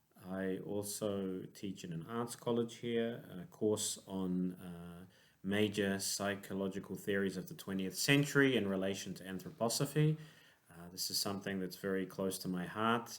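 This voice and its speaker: With a New Zealand accent, a man speaks at a fairly low pitch and moderate pace, with ordinary pitch variation, big swings in loudness and audible room echo. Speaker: clinical psychologist. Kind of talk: conference lecture. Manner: hesitant, many fillers.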